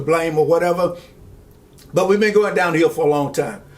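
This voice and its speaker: A man speaks in a high pitch. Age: 70s. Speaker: pastor and commentary vlogger. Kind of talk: political commentary monologue. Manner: halting, many fillers.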